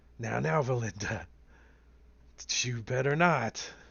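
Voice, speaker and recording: A raspy put-on character voice from a man at medium pitch, at a fairly slow pace. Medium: actual play.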